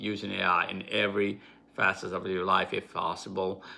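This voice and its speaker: A man with a non-native accent speaks at a fairly slow pace in a fairly low pitch. His tone is bright and sharp, and his intonation stays monotone and flat. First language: not English. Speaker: YouTuber. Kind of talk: live stream talk. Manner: halting.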